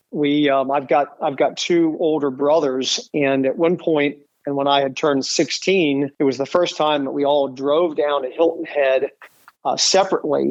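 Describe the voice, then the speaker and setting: A man with an American accent, fairly high pitch, fairly even intonation and a moderate pace. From US Midwest, Dayton, Ohio. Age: 50s. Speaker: real estate broker. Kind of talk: podcast interview. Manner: halting, many fillers and repetitions.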